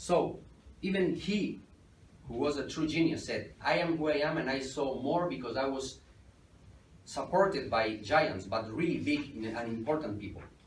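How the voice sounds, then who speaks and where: Lively intonation at a moderate pace, somewhat breathy, with a Spanish accent and audible room echo. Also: man. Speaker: entrepreneur, guest lecturer. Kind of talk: lecture. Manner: halting.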